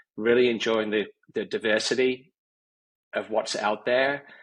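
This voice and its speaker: Fairly slow, fairly even speech in an English accent against a quiet background. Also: man. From England, Warwickshire. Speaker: company CEO. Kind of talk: podcast interview.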